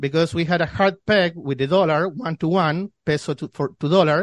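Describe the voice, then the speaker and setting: A man speaks in a Spanish accent with ordinary pitch variation. The sound is dry and close with no echo, over a quiet background. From Argentina, Buenos Aires. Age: 30s. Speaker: financial newsletter editor. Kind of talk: interview. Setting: remote call.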